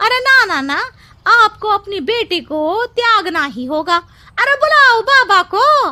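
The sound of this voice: A woman performs a put-on character voice at an extremely high pitch, bright and sharp in tone. She speaks slowly, her pitch swinging widely.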